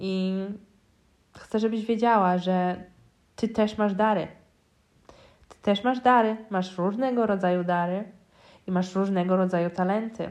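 A woman at medium pitch, fairly slow and with long, frequent pauses, fairly even intonation and big swings in loudness. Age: 20s. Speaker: spiritual mentor and coach, podcast host. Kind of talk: solo podcast monologue.

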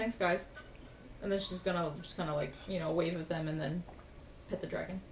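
A woman with a fairly low pitch talks at a fairly quick pace, her intonation fairly even. She leaves long, frequent pauses over noticeable background noise. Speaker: role-playing game player. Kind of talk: tabletop RPG actual play, in-character speech.

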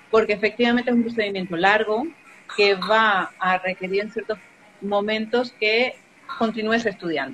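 A woman speaks at a moderate pace, her fairly high voice varying in pitch in an ordinary way while noticeable background noise carries on behind her. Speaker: immigration adviser. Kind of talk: interview.

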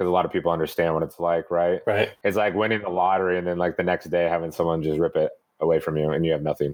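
A man with an American accent talks at a very fast pace in a very deep, low pitch. The recording is very clean, with a silent background. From Northern California. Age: 30s. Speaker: personal trainer. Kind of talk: casual interview.

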